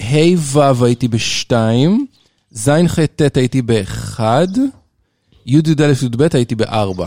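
Over a silent background in a very clean recording, a man speaks very slowly in a dark, mellow tone at medium pitch, with ordinary pitch variation, very even loudness, and a dry, close sound with no echo. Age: 40s. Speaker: father of the child hosts. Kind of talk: casual chat.

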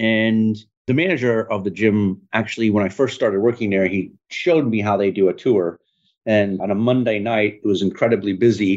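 Over a quiet background, a man with an American accent speaks at a moderate pace in a fairly low pitch. His is an ordinary speaking voice with fairly even intonation. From northern Michigan, US. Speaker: business CEO. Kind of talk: interview.

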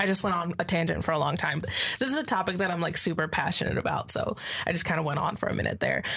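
Amid noticeable background noise, a woman with a fairly low pitch talks at a very fast pace, her loudness very even and her pitch varying in an ordinary way. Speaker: college student. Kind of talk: casual chat.

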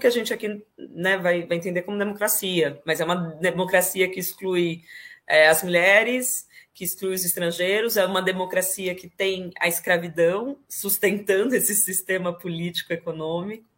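A woman at a moderate pace with big swings in loudness and ordinary pitch variation, an ordinary speaking voice. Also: medium pitch for a woman. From Brazil, interior of São Paulo state (Ribeirão Preto). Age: 30s. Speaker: poet and actress. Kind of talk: interview.

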